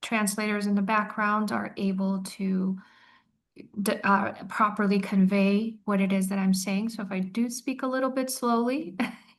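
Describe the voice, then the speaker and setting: Her medium-pitched voice is somewhat breathy, with fairly even intonation. The woman is heard over a quiet background. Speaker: attorney. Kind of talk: legal seminar presentation. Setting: online webinar with interpreters. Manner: slow, deliberate.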